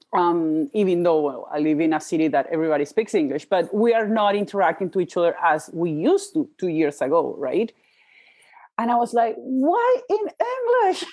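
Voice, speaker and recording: A woman with a Spanish accent, medium pitch, lively intonation and a moderate pace. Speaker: podcast host, life coach. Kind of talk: casual interview chat. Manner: halting, self-interrupting.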